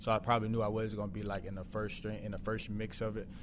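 Speaking with a slight Southern US accent, a man talks in a fairly low voice. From Mississippi, US South. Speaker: football player, wide receiver. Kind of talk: casual interview.

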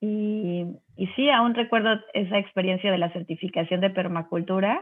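A woman with a normal speaking voice, ordinary pitch variation and a fairly slow pace. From Mexico City, raised in Cancún. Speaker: organic gardening entrepreneur. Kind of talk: interview conversation.

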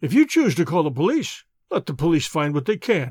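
A put-on character voice sits at a middle pitch and moves at a fairly quick pace. The recording is very clean, with a silent background. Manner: passionate, angry.

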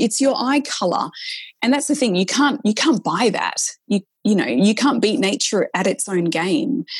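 A woman with an Australian accent, fairly high in pitch, at a moderate pace with lively intonation and very even loudness. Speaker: nurse practitioner and author. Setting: video call.

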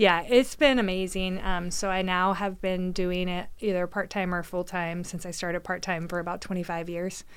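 A woman with a plain, everyday voice and a medium pitch talks at a moderate pace. Her intonation is fairly even, with hardly any pauses. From Oregon, McMinnville. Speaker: mortgage broker and community organizer. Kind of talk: casual interview chat.

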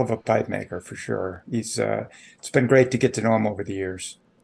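A man's medium-pitched voice with vocal fry, ordinary pitch variation and an American accent. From Chicago area, Illinois. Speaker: lobbyist, pipe smoker. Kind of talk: interview.

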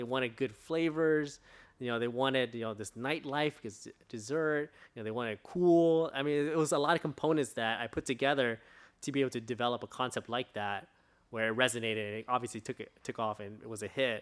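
Speaking at a fairly quick pace, a man with an American accent uses a medium pitch and ordinary pitch variation on a very clean recording with a silent background. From Southern California, Orange County. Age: 30s. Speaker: entrepreneur, ice cream company CEO. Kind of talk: casual interview.

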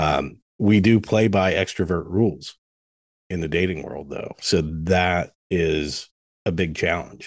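Against a quiet background, a man speaks at a very slow pace with a very deep, low pitch and ordinary pitch variation. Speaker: coaching client. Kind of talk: coaching session conversation.

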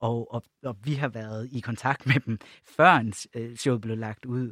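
An unremarkable speaking voice with fairly even intonation. The recording is very clean and dry, close-miked with no echo against a silent background. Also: man. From Jutland, Denmark. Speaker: LGBT+ organisation project leader. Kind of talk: podcast panel discussion. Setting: studio.

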